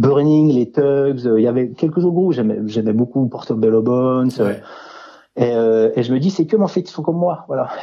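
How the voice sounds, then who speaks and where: Male speech in a plain, everyday voice, medium in pitch, moderate in pace, with ordinary pitch variation. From France, mountain village near Swiss border. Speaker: author. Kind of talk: interview.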